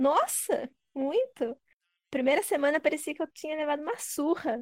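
A woman speaks at a high pitch and moderate pace, the sound dry and close with no echo. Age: 30s. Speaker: gym member. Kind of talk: casual interview.

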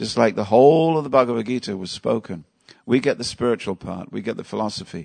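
Against a quiet background, a man speaks at a very fast pace and medium pitch, with lively intonation, vocal fry and big swings in loudness. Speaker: Hare Krishna teacher giving a scripture class. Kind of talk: lecture. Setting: temple hall with live audience. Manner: humorous, interactive.

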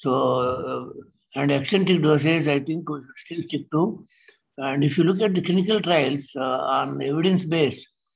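Speaking at a fairly slow pace, a man with a fairly high voice and vocal fry keeps his intonation fairly even. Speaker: senior cardiologist. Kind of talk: clinical discussion on a video call. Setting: video call.

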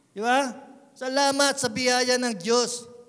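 An extremely high male voice with a slight Visayan accent, very slow, in a monotone with flat intonation, and with audible room echo. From Philippines, Visayan parents. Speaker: pastor. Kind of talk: sermon.

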